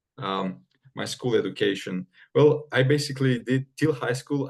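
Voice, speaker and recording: A man's medium-pitched, somewhat breathy voice with a Romanian accent, fairly slow pace, and ordinary pitch variation. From Moldova (Chisinau). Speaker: medical student. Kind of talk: interview. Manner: halting, many fillers.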